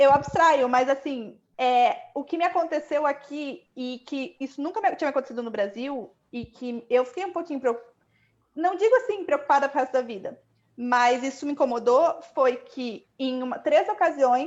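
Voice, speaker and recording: At a moderate pace, a woman speaks high-pitched with lively intonation and big swings in loudness. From Brazil. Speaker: economist, panel guest. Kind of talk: live online panel chat.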